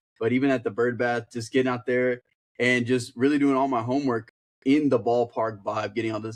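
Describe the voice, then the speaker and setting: A man speaks at a medium pitch with fairly even intonation. He talks at a fairly quick pace in an unremarkable speaking voice. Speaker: sports broadcaster. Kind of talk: casual sports podcast talk.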